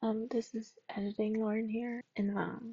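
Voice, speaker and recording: A woman speaks fairly slowly in a somewhat breathy, fairly high voice with flat, monotone intonation. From Northern Ireland, County Antrim. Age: 20s. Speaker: vlogger. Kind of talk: casual chat. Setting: in a van. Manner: hesitant, filler-heavy.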